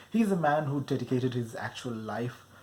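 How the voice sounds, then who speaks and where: The speech moves at a moderate pace. Noticeable background noise runs under it. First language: not English. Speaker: film reviewer. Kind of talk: casual film review monologue. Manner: casual with fillers.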